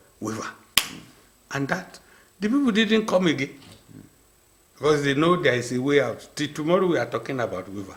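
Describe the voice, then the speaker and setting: Over noticeable background noise, a man talks at a fairly quick pace in a fairly high voice, with very wide pitch swings and long, frequent pauses. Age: 80s+. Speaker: maritime industry veteran. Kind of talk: panel interview.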